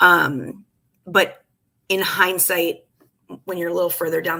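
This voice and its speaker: Her tone bright and sharp, a woman talks at a fairly low pitch with vocal fry. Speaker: life coach. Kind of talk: casual livestream chat. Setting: live video stream. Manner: fast.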